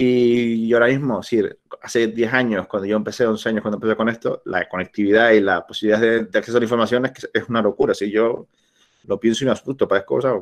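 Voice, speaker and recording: A man talks at a very fast pace in a Canarian accent. The background is quiet. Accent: Canarian, sing-song. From Canary Islands, La Palma; Canary Islands. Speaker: travel blogger and entrepreneur; travel blogger. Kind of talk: informal talk over slides. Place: home room. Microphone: webcam.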